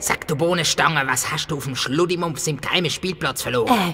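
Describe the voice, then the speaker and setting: Using a put-on character voice with a fairly high pitch, a man talks at a fairly quick pace over clear background noise. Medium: audio drama. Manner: gruff, bossy.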